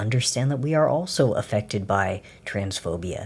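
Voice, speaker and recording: A man speaks at a fairly low pitch with lively intonation. His voice is somewhat breathy. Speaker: video essayist. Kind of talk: unscripted commentary. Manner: stutters when escalated; animated.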